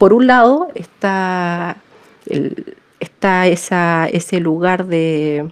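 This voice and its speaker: Long, frequent pauses break up this very slow speech, whose pitch moves in a normal way. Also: woman, medium pitch for a woman. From Chile. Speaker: philosopher and feminist activist. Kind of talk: interview. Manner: halting, many repetitions and fillers.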